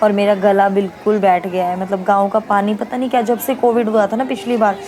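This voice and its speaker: Noticeable background noise sits behind a woman whose medium-pitched voice keeps fairly even intonation. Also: moderate pace. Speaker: family vlogger. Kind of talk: casual vlog narration.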